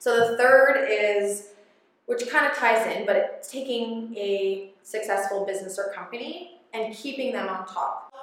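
A woman with an unremarkable speaking voice talks fairly slowly. Her pitch is fairly high, with ordinary pitch variation. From northern Ontario, Canada. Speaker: branding and social media entrepreneur. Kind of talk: casual interview chat.

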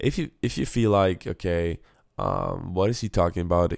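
Moderately paced speech, a very clean recording, silent background. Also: man. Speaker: podcast host, entrepreneur. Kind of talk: solo motivational monologue. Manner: rambling, hesitant, filler words, enthusiastic.

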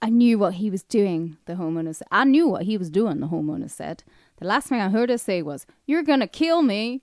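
At a fairly quick pace, a woman with a medium pitch makes very wide pitch swings over a quiet background. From northern England. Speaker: podcast co-host. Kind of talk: casual chat.

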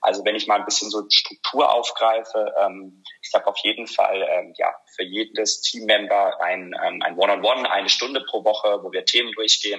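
Speaking at a fairly quick pace with hardly any pauses, a man is heard over noticeable background noise. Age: 30s. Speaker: operations manager. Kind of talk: interview.

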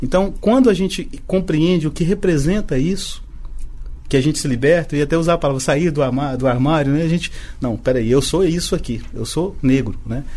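A man at a fairly high pitch and moderate pace, with ordinary pitch variation and audible room echo. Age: 50s. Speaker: business association president. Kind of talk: radio podcast interview.

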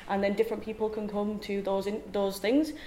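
A woman's fairly quick, medium-pitched speech comes through over noticeable background noise. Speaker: game producer. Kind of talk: panel discussion.

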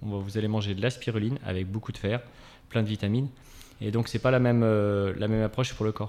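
A man with a dark, mellow tone and fairly low pitch speaks at a very fast pace in a monotone, flat intonation. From France, Angers. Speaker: spirulina farmer. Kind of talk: radio interview. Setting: radio studio.

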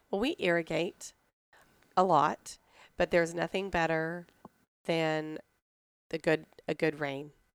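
A fairly low-pitched woman with a Texan accent at a fairly slow pace, in a very clean recording with a silent background and a dry, close sound with no echo. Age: 30s. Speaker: pecan business owner. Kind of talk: interview. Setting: at her business in Texas.

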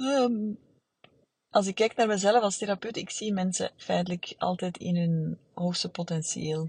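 Somewhat breathy and at medium pitch, a woman speaks at a fairly slow pace with ordinary pitch variation in a dry, close sound with no echo. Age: 40s. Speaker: therapist. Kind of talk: solo podcast monologue. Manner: halting, many fillers.

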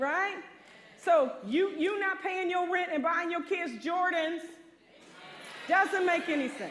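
Extremely high in pitch, a woman speaks at a very slow pace with long, frequent pauses. Audible room echo surrounds her. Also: ordinary pitch variation. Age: 50s. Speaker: pastor. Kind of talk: sermon.

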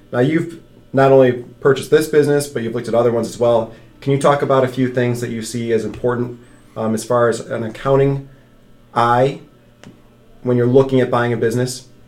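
Over music in the background, a man talks at medium pitch with monotone, flat intonation and audible room echo. His pace is fairly quick, broken by long, frequent pauses. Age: 30s. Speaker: financial advisor podcast host. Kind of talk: casual chat.

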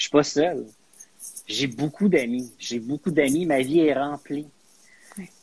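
A man speaks very slowly in a fairly high pitch, with ordinary pitch variation and long, frequent pauses. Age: 40s. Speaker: guest, media professional. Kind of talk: casual chat.

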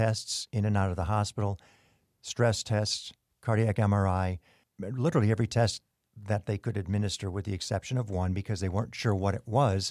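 Recorded very cleanly with a silent background and dry, close sound with no echo, a man has a normal speaking voice at a fairly low pitch, with ordinary pitch variation and a moderate pace. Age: 60s. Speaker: podcast guest. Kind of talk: casual interview chat. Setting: studio.

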